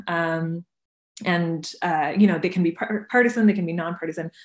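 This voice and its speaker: A woman with a plain, everyday voice speaks at a moderate pace, fairly low in pitch with ordinary pitch variation. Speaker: reporter. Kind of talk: panel discussion. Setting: video call.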